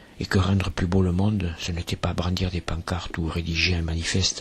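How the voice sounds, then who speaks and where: A man with a southern French accent talks at a fairly slow pace in a very deep, low voice. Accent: singsong southern French. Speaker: artist, museum creator. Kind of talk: poetic voice-over narration.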